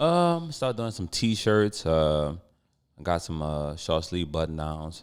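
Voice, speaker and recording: A man with a very deep, low pitch speaks at a very slow pace with ordinary pitch variation. The recording is very clean, with a silent background. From New Orleans, Sixth Ward. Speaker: clothing brand owner. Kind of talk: casual chat.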